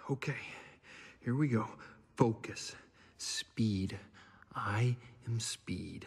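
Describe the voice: At a very slow pace, a man uses a cartoonish character voice that is fairly low in pitch, slightly mellow in tone, with a slightly husky edge, vocal fry and ordinary pitch variation.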